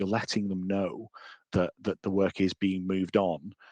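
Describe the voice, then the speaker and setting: Recorded dry and close with no echo, a man speaks in a fairly low, monotone voice with flat intonation. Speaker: software trainer. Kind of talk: software demo webinar. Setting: webinar. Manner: fast.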